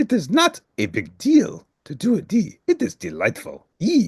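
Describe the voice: A man puts on a character voice, high-pitched for a man, with a husky, rough edge and vocal fry. His pitch swings very widely at a fairly slow pace, in a dry, close sound with no echo.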